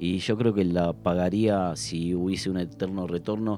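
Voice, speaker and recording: The speaker is a man with a very deep, low pitch. He uses lively intonation. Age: 40s. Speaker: community radio host, health worker. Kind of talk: casual chat.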